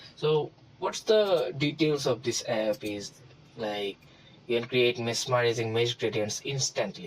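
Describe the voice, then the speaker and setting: A man with a medium pitch and lively intonation speaks at a fairly slow pace over noticeable background noise. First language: not English. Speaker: tutorial creator. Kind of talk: tutorial. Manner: halting, many fillers.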